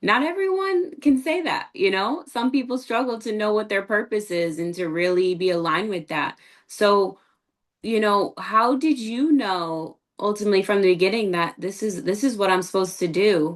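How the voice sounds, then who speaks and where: A woman with an American accent speaks in an ordinary speaking voice at medium pitch. Her intonation is lively. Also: moderate pace. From USA. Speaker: podcast host. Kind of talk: interview. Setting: video call.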